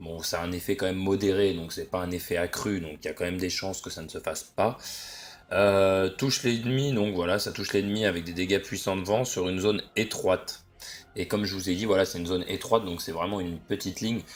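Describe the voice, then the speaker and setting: Fairly quick and fairly even in intonation, a man speaks with a very deep, low pitch. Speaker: gaming YouTuber. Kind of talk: gameplay commentary. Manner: hesitant, many fillers.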